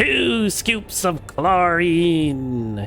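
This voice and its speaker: It is a put-on character voice with a theatrical tone at a middle pitch. Background noise is clearly heard. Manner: cackling, theatrical.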